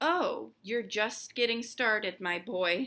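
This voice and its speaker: A woman's put-on character voice, fairly high, wheezy and cackling, at a fairly slow pace. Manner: wheezing, cackling.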